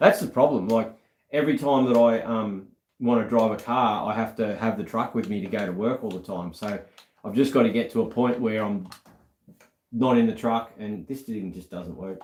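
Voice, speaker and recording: With an Australian accent, a man talks at a moderate pace and medium pitch, his pitch varying in an ordinary way while his loudness swings widely. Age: 40s. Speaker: car restorer and YouTuber. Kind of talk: casual chat. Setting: live stream.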